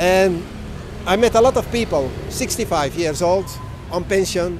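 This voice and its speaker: Over noticeable background noise, a man talks at a high pitch and a moderate pace, with ordinary pitch variation. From Belgium. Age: 50s. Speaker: world traveler. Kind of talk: interview.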